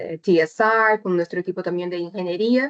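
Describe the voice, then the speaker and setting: A woman talks with a Brazilian accent and ordinary pitch variation. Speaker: chemical engineer, technical presenter. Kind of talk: webinar presentation. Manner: deliberately slow; hesitant, many fillers.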